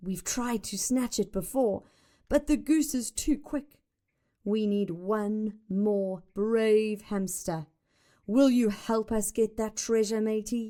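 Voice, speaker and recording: In a put-on character voice, a woman sounds gruff at a fairly high pitch. She goes at a fairly slow pace on a very clean recording with a silent background. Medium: read story. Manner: hearty.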